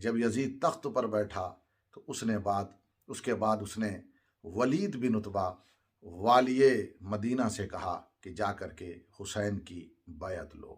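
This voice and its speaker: This man has a normal speaking voice at a fairly low pitch. His pitch varies in an ordinary way while his loudness swings widely. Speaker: Islamic religious speaker. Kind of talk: Urdu sermon narrating Karbala history.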